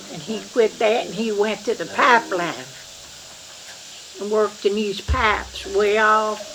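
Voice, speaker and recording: A woman with an Appalachian accent at medium pitch, fairly slow with long, frequent pauses, ordinary pitch variation and big swings in loudness, over noticeable background noise. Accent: Appalachian Kentucky. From eastern Kentucky. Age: 80s+. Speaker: family elder. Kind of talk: oral history interview. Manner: halting.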